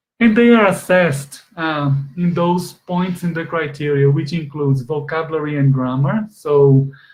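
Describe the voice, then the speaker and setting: A man with a Portuguese accent speaks at a moderate pace in a fairly high, somewhat breathy voice with fairly even intonation. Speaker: exam expert presenter. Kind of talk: webinar lecture. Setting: online conference. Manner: halting, many fillers.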